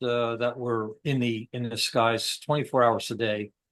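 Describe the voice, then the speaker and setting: A man with an upstate New York accent speaks at a medium pitch in a flat monotone, and the sound is dry and close with no echo. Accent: upstate New York American. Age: 60s. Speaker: military veteran. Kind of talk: interview conversation. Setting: podcast interview. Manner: halting, many fillers.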